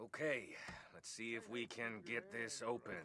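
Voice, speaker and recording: Putting on a raspy character voice, a man of medium pitch speaks at a moderate pace with ordinary pitch variation. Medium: video game. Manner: cocky, teasing.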